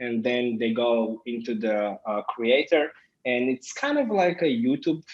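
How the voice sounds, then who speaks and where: The background is quiet. A man speaks at a fairly slow pace with a medium pitch. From Israel. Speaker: business owner. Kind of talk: interview. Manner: halting.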